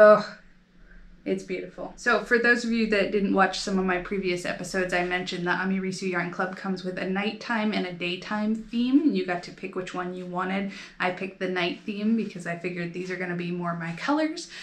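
This woman talks with an American accent at a medium pitch. Her intonation stays fairly even. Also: fairly quick pace. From United States. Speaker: knitting video creator. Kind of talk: casual show-and-tell vlog. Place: home room. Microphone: phone near.

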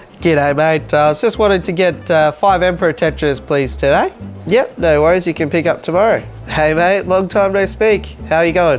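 This man keeps a moderate pace while faint music sounds in the background. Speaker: comedy creator playing roles. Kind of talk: comedy sketch dialogue. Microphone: lapel.

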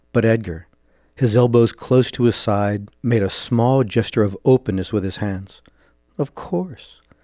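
Music plays in the background as a man speaks with fairly even intonation, the sound dry and close with no echo. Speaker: podcast host and fiction author. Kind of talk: dramatic short-story narration, voicing gritty characters in a dark fantasy crime tale. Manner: measured, suspenseful storytelling cadence.

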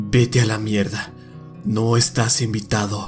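Against clear music in the background, a man puts on a character voice at medium pitch and a fairly slow pace. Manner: hostile, curt.

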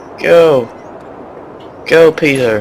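A man speaks with ordinary pitch variation. Noticeable background noise runs under his voice. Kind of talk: casual video game commentary.

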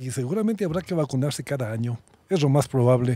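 In a dry sound with no echo, a man with a dark, mellow tone sounds somewhat breathy, his pitch swinging very widely. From Ecuador, Quito; Ecuador. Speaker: doctor; podcast guest. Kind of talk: casual conversation. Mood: warm, joking. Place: open country. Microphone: studio mic.

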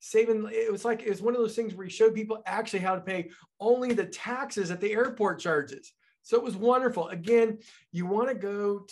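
The speaker sounds enthusiastic, keeping a moderate pace and ordinary pitch variation. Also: man. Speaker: financial consultant and podcast host. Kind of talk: podcast host talk. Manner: enthusiastic, conversational. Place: office.

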